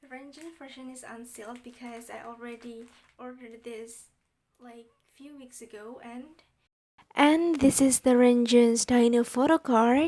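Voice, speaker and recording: A woman speaks in a high pitch with a non-native accent. Her intonation is fairly even. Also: fairly slow pace, big swings in loudness. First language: not English. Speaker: YouTuber. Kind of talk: unboxing video. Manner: halting.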